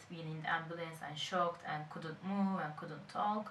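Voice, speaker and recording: A fairly low-pitched woman with a Turkish accent, amid audible room echo and noticeable background noise. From Turkey (Izmir). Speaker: charity volunteer. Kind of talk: interview testimony.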